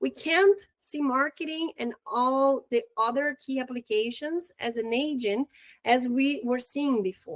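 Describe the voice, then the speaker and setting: Speaking at a fairly slow pace, a woman with a Brazilian accent has a high pitch, recorded dry and close with no echo. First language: Portuguese. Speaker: real estate marketing trainer. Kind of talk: online training webinar. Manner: halting, with repetitions.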